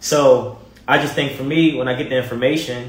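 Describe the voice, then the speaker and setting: A man with a medium-pitched voice speaks at a fairly quick pace in an animated tone, with noticeable background noise and audible room echo. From Baltimore, Maryland. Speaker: TV personality and motivator. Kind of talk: casual interview chat.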